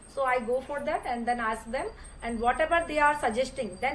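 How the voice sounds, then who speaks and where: A woman's high-pitched voice with an Indian accent, a moderate pace, and ordinary pitch variation. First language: Hindi. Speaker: English learner. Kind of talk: casual conversation practice. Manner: halting, many fillers.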